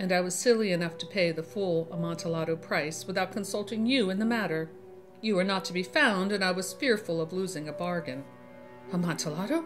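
A woman talks at a fairly quick pace with a fairly low pitch and lively intonation. Music plays in the background. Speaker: horror story narrator. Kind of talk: dramatic reading of a classic gothic tale.

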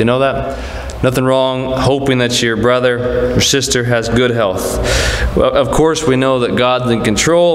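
The speech moves at a moderate pace with fairly even intonation, heard through audible room echo and light background noise. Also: man. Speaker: Sunday school teacher. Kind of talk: sermon. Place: church. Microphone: podium.

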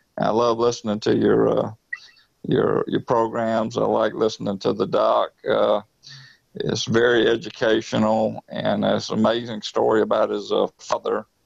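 A man with a Southern US accent speaks at a moderate pace and very even loudness. The sound is dry and close, with no echo. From US South. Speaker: product user with PTSD. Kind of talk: testimonial. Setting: online call. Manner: halting.

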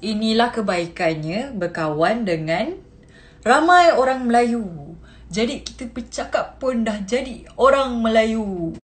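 At a very slow pace, a woman with a fairly high pitch speaks with very wide pitch swings. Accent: Kelantan. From Kelantan, Malaysia. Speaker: TikTok creator. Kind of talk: casual Q&A talk to camera. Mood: cheerful, laughing. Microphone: phone near.

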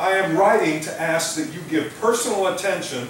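A man speaks at a high pitch and a moderate pace. Audible room echo and light background noise surround him. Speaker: pastor. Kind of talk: sermon. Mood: warm, lightly humorous. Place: church.

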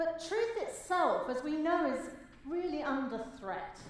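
Strong room echo surrounds the voice. A woman talks at a fairly slow pace. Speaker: speaker. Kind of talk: keynote speech. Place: hall.

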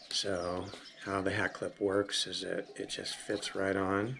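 A man speaks at a very slow pace in a fairly low voice. Background noise is noticeable. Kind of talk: tutorial. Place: home room. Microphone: camera far.

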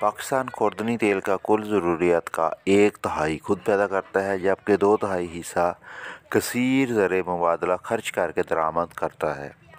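Very slow in pace, a man speaks with a fairly low pitch. The sound is dry, with no echo. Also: ordinary pitch variation. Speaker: farmer vlogger. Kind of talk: informational farm vlog talk. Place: open country. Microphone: phone near.

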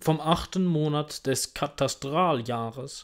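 Lively intonation marks a man's fairly high pitch. The background is quiet. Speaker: audiobook reader. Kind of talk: reading aloud. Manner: formal. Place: home room. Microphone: earbuds.

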